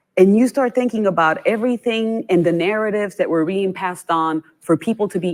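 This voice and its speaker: Speaking with a Puerto Rican accent, a woman of medium pitch moves at a fairly quick pace with ordinary pitch variation and hardly any pauses, in a dry, close sound with no echo. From Puerto Rico. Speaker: nonprofit chief executive. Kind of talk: panel discussion. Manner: animated.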